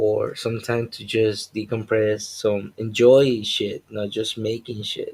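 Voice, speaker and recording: This man's voice is medium in pitch, somewhat breathy, with a monotone, flat intonation. He speaks very slowly with hardly any pauses, and his loudness swings widely. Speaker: comic artist and live streamer. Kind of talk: casual live stream monologue.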